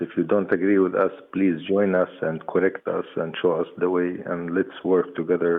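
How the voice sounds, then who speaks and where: Flat and monotone, this man's voice sits very deep and low in pitch. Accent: Arabic. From West Bank, Jericho. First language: Arabic. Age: 40s. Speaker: peace activist. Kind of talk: interview.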